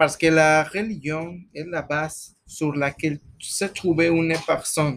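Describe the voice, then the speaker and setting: Speaking at a very slow pace with a Spanish accent, a man uses a fairly high pitch and fairly even intonation. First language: Spanish (speaking French). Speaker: guest on student radio-style show, psychologist. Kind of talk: mock radio discussion. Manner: halting.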